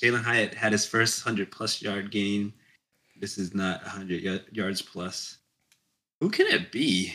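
Using a plain, everyday voice, a man talks at a fairly slow pace and fairly low pitch with fairly even intonation. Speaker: fantasy football podcast co-host. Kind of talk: casual chat.

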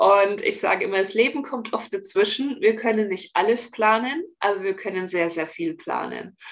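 A woman with an ordinary speaking voice and a fairly high pitch talks at a moderate pace with hardly any pauses. Her intonation is lively. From Bavaria, near Augsburg. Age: 30s. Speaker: relaxation coach for highly sensitive people. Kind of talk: podcast interview.

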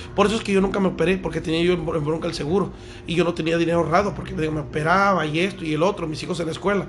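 A man talks at a very fast pace with a high pitch and fairly even intonation. Noticeable background noise and audible room echo are present. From Veracruz, Mexico. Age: 30s. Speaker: restaurant owner. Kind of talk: casual interview. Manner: halting.

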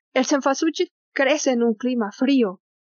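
The pitch of this woman's speech varies in an ordinary way. She is the only voice described. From Mexico City. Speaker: naturalist. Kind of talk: casual chat. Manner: halting.

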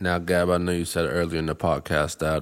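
A man with an American accent speaks at a fairly quick pace in a very deep, low voice with monotone, flat intonation. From Boston. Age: 30s. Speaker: podcast host. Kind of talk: casual chat. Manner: halting, repeats words.

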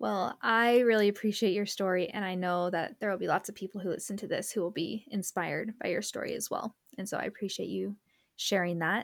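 Speaking at a fairly quick pace, a woman uses an ordinary speaking voice with medium pitch and fairly even intonation. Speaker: podcast host and nonprofit founder. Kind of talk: interview conversation.

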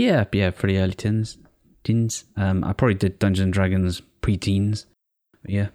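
A man with a British accent speaks at a moderate pace in a dark, mellow tone, his fairly low pitch held in a monotone, flat intonation, recorded very cleanly with a silent background and dry, close sound with no echo. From Britain. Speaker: podcast co-host. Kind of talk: casual chat.

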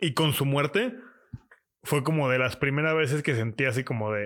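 Someone with a Mexican accent speaks at a fairly slow pace with ordinary pitch variation. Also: man. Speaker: podcast co-host. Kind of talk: casual chat.

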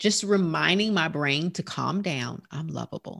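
This voice has a Southern US accent and vocal fry. Its intonation is lively. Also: woman. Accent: country, twangy Southern US. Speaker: life coach and healthcare provider. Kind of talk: podcast interview.

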